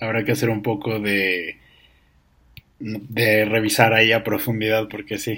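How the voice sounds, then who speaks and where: A man with a Mexican accent speaks fairly slowly at a fairly low pitch, his bright, sharp tone flat and monotone, broken by long, frequent pauses. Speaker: podcast guest, host's cousin. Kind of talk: casual chat. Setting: home-made studio.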